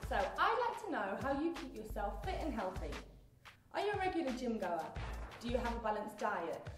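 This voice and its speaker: Over noticeable background noise and audible room echo, a woman talks at a fairly quick pace in a high voice with very wide pitch swings. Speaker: TV presenter. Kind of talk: TV presenter piece to camera, upbeat. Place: studio.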